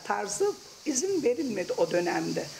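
A woman speaks at a moderate pace with big pitch swings and a slightly mellow tone. Vocal fry shows up, and faint background noise sits behind her.

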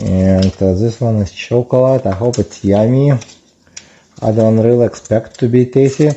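Male speech with ordinary pitch variation. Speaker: product reviewer. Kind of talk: casual unboxing review. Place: kitchen. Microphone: camera far.

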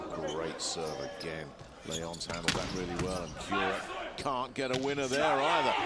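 A man's very deep, low voice at a moderate pace, with very wide pitch swings and noticeable background noise. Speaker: volleyball commentator. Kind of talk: live match commentary. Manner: animated, excitable.

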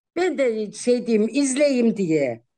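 A woman's dark, mellow tone and lively intonation over a quiet background. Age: 50s. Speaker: social media personality; guest. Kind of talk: casual interview. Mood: cheerful, laughing, warm. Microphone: video call.

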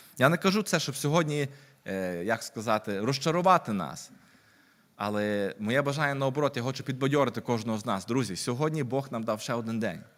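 Lively in intonation, a man with a plain, everyday voice talks at medium pitch and a fairly quick pace. The recording is very clean, the background silent. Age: 30s. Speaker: lay preacher. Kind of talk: sermon.

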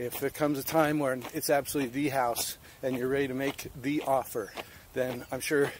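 Moderate pace and fairly even intonation, in a dry sound with no echo and light background noise. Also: man. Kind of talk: casual vlog chat. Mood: earnest, encouraging. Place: street. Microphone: phone near.

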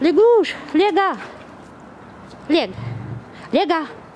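Speaking slowly, a woman uses an extremely high pitch, lively intonation and a slightly mellow tone, with faint noise behind her.

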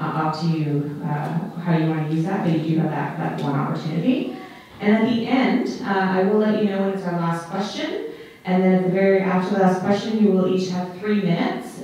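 Strong room echo surrounds a fairly quick voice with ordinary pitch variation. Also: woman. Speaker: debate moderator. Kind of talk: event moderation explaining format. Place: stage.

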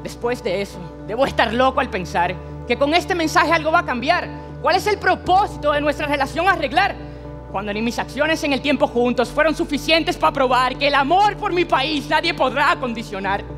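A man's extremely high voice at a fairly quick pace over clear background music. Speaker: spoken word poet. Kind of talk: spoken word performance. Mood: emotional, pleading. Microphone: headset.

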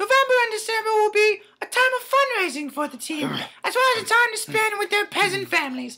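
A put-on character voice, female-sounding and extremely high in pitch, at a fairly quick pace. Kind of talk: comedy sketch promo for an improv show. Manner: haughty, prim.

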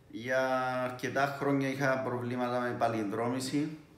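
In a room with audible echo, a man talks with monotone, flat intonation. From Cyprus. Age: 50s. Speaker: priest, patient. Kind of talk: patient testimony. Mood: calm, measured. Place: home room. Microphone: phone near.

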